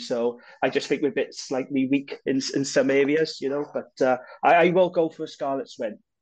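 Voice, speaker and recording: In a Welsh accent, a man speaks at a fairly high pitch. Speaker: podcast co-host. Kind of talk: casual banter.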